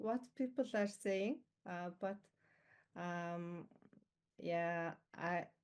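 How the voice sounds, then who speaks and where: Against a quiet background, a woman with a non-native accent speaks at a very slow pace with ordinary pitch variation. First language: not English. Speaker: team coaching graduate, full-time coach. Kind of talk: online event testimony. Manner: halting, many fillers.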